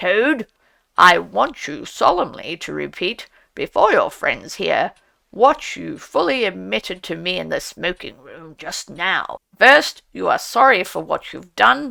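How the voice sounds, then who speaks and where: A woman puts on a raspy character voice. She delivers it at a fairly slow pace. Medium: read story. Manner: solemn, oratorical.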